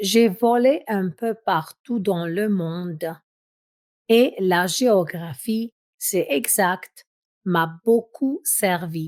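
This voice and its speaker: A woman's medium-pitched voice with ordinary pitch variation, dry and close with no echo. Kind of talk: audiobook reading. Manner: slow, clear.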